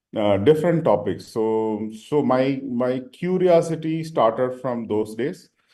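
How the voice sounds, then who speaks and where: With a Tamil accent, a man speaks at a fairly slow pace. His tone is dark and mellow, and his intonation is lively. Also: medium pitch for a man. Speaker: senior leader, panelist. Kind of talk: panel discussion. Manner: halting, many fillers.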